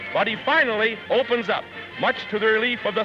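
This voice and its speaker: A man's high-pitched, raised and projected voice at a fairly quick pace, fairly even in intonation, with music in the background. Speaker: newsreel narrator. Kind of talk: 1940s newsreel narration.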